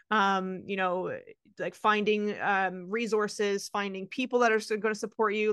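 Over a quiet background, a woman with an unremarkable speaking voice talks fairly quickly at a medium pitch with fairly even intonation. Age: 30s. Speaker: nutrition coach. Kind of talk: interview.

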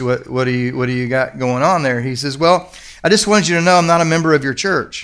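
Lively intonation from a man at a medium pitch and a fairly quick pace. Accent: Kentucky. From Kentucky. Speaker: pastor. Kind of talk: sermon. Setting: church service with congregation. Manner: animated, conversational.

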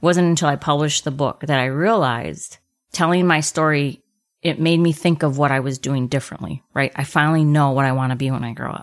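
Her voice has a very deep, low pitch and fairly even intonation. The woman speaks at a fairly quick pace in a very clean recording with a silent background. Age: 50s. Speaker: podcast host and author. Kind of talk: interview. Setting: home studio.

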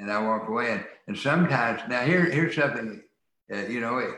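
A man talks in a bright, sharp tone at a moderate pace with ordinary pitch variation. Audible room echo surrounds the voice. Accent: American. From rural US. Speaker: attorney and author. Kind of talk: interview.

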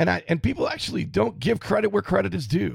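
With an American accent, a man talks fairly quickly at a medium pitch, his pitch swinging very widely. Vocal fry runs through his voice. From US South, Florida panhandle. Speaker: podcast host. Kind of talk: monologue.

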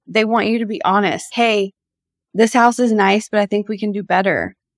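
The voice is monotone and flat at a moderate pace, with a quiet background. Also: woman. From Nashville, Tennessee. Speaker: real estate broker. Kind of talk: interview conversation.

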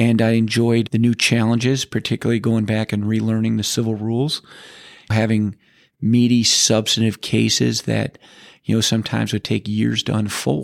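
Recorded very cleanly against a silent background with a dry, close sound and no echo, a man with an American accent has an unremarkable speaking voice, medium pitch and fairly even intonation. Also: moderate pace, very even loudness. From Cleveland, Ohio. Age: 50s. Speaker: lawyer. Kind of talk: interview.

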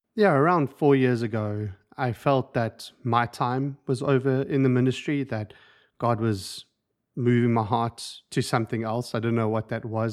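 A man with a South African accent talks at a fairly slow pace and medium pitch, with fairly even intonation. The recording is very clean, with a silent background. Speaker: incoming ministry leader, coach. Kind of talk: casual interview.

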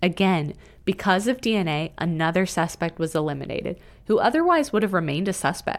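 On a very clean recording with a silent background, a woman with an unremarkable speaking voice and medium pitch uses lively intonation at very even loudness. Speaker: podcast co-host narrator. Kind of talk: true-crime narration. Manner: measured, serious, even.

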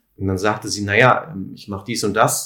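At a moderate pace, a man speaks in an unremarkable speaking voice with a fairly low pitch. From Sauerland, Germany (Lüdenscheid). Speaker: physiotherapist and alternative practitioner. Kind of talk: interview.

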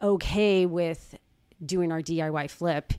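On a very clean recording with a silent background, a woman talks at a very slow pace. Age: 50s. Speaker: real estate agent. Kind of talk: casual chat.

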